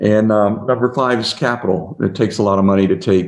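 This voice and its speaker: In a plain, everyday voice, the speaker goes at a fairly quick pace with ordinary pitch variation. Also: man. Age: 60s. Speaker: biotech company founder and CEO. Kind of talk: interview.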